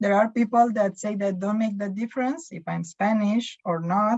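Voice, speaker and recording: This woman has a medium-pitched, somewhat breathy voice with a dark, mellow tone. Her intonation stays fairly even. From Romania, Bucharest. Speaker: small business owner. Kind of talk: interview. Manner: halting.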